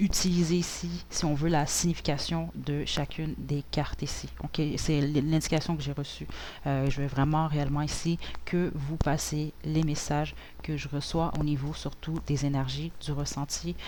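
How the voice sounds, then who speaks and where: A woman talks at a moderate pace. Her voice carries audible room echo. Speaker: tarot reader. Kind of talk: tarot reading. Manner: relaxed; hesitant, many fillers.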